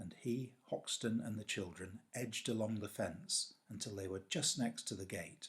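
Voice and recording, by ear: Here a text is read aloud. The reader uses a natural voice.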